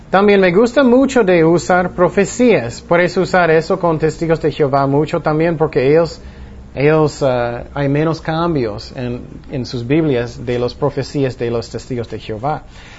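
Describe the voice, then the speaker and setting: Over noticeable background noise, a man speaks at a fairly slow pace in a fairly high pitch with lively intonation. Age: 40s. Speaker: pastor. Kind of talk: Bible study teaching. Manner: halting.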